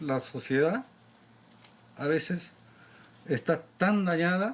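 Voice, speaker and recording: A fairly high-pitched male voice with lively intonation. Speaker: community leader. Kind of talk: panel discussion.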